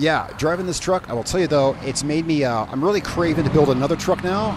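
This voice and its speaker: Against noticeable background noise, a man talks fairly quickly with ordinary pitch variation. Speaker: gaming YouTuber. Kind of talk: let's play commentary. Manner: casual, rambling with fillers; loud over engine noise.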